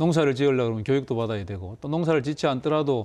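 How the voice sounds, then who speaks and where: Pitch moves in an ordinary way. The voice sounds dark and mellow. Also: man. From South Korea. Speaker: government agency head; guest. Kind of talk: TV interview. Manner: formal. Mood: friendly, smiling. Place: studio.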